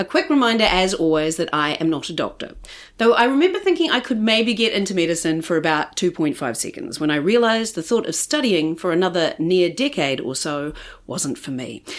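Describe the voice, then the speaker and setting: On a very clean recording with a silent background, a woman with a New Zealand accent speaks at medium pitch with very wide pitch swings. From New Zealand, Christchurch. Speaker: podcast host. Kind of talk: scripted intro; podcast interview. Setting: guest's home.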